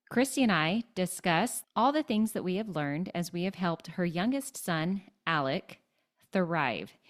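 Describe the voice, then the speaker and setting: In a normal speaking voice, a woman talks fairly slowly at a fairly low pitch with lively intonation, the sound dry and close with no echo. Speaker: podcast co-host. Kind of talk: podcast hosting.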